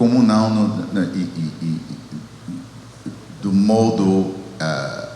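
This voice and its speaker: Amid noticeable background noise and audible room echo, a man speaks at a very slow pace with long, frequent pauses. His pitch is fairly low, with ordinary pitch variation. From United States. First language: English (speaking Portuguese). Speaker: theology professor. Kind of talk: panel discussion. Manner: halting, many repetitions.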